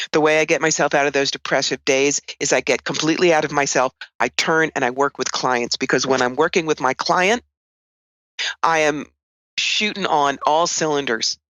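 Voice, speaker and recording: A woman with an American accent talks at a moderate pace. Her pitch is very deep and low. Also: ordinary pitch variation, very even loudness. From New York. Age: 60s. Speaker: psychic and tarot reader. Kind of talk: interview.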